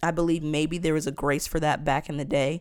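In a very clean recording with a silent background, a woman speaks at a very deep, low pitch. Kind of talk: opinionated monologue, preachy commentary. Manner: animated, passionate.

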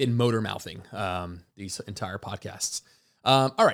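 The recording is very clean with a silent background, capturing a man at a medium pitch. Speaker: fitness coach podcast host. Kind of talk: solo Q&A podcast. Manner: fast.

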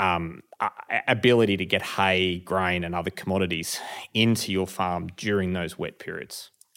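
Over a very clean recording with a silent background, a man with a very deep, low pitch and an Australian accent speaks with fairly even intonation. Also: moderate pace. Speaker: hay business owner. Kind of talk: casual chat.

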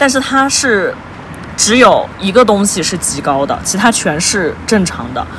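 A woman's pitch swings very widely against noticeable background noise. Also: medium pitch for a woman. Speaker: guest friend. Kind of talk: casual chat. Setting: outdoors by the roadside at night.

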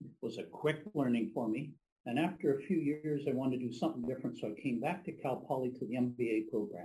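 A man speaks at a very fast pace in a somewhat breathy voice with a dark, mellow tone, a medium pitch and ordinary pitch variation. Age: 70s. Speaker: business professional, audience member. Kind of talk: audience comment.

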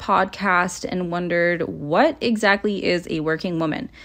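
A woman with a Canadian accent has an ordinary speaking voice at a medium pitch with ordinary pitch variation. The background is quiet. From Toronto, Canada. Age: 20s. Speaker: podcast host. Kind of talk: casual monologue. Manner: relaxed, laid back.

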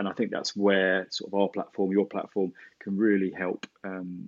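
This man talks at a moderate pace with a fairly low pitch. His is an unremarkable speaking voice. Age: 40s. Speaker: tech company co-founder. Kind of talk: interview.

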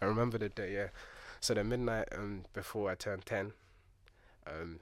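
On a very clean recording with a silent background, a man talks at a fairly quick pace in a fairly low pitch with fairly even intonation. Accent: London. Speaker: DJ. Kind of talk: casual chat.

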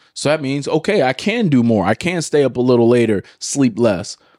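A man's unremarkable speaking voice, medium in pitch, fairly quick and lively in intonation, in a very clean recording with a silent background. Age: 20s. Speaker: podcast host and former athlete. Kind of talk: casual chat.

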